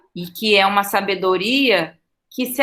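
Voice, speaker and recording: Fairly even intonation carries a bright, sharp tone. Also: woman. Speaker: teacher. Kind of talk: monologue, personal talk. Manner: halting, with self-corrections.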